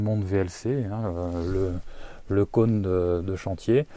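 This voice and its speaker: A man's fairly low voice with a dark, mellow tone, on a very clean recording against a silent background. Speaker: podcaster. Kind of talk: solo podcast talk. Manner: hesitant, many fillers.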